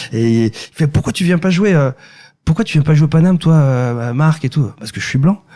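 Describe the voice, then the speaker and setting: A man speaks at a moderate pace with a fairly high pitch and lively intonation. His voice is somewhat breathy with a dark, mellow tone. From France, Ile-de-France. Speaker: singer-songwriter and comedian. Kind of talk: podcast interview. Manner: halting, many repetitions.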